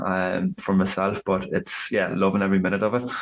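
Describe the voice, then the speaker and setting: Moderate-paced speech from a man over clearly audible background noise. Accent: Irish. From rural Ireland. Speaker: men's coach. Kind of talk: casual interview chat.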